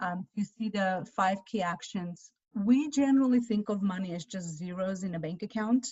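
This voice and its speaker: At a moderate pace and with hardly any pauses, a woman speaks in a somewhat breathy voice of medium pitch with ordinary pitch variation. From Armenia. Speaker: financial adviser. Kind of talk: webinar presentation.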